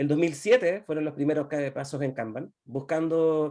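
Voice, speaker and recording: The man's voice carries a dark, mellow tone with fairly even intonation. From Chile. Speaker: agile consultant. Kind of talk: presentation. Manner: fast.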